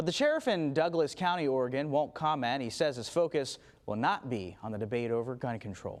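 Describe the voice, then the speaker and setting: Over a very clean recording with a silent background, a man with a normal speaking voice talks at a fairly quick pace, his fairly high pitch moving with lively intonation. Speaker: television news anchor. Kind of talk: TV news anchor delivery.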